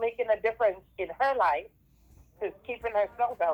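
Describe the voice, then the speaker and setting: With a Jamaican accent, a woman at medium pitch talks with lively intonation. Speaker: school teacher. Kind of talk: class talk over video call. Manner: halting, many fillers.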